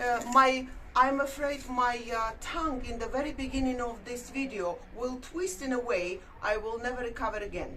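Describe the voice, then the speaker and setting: Audible room echo and noticeable background noise accompany a woman with a non-native accent. Her pitch is high, with ordinary variation, and she keeps a moderate pace. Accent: foreign accent in English. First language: not English. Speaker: YouTube vlogger. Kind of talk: casual chat. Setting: outdoors. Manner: halting.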